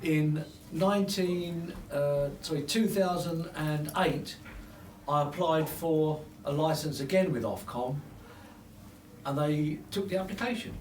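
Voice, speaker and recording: A man with a southern English accent and fairly high pitch speaks at a fairly slow pace, leaving long, frequent pauses, with ordinary pitch variation and audible room echo. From London. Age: 60s. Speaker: radio presenter and mayor. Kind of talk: informal speech to a small audience. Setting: pub office party. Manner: halting, repetitive.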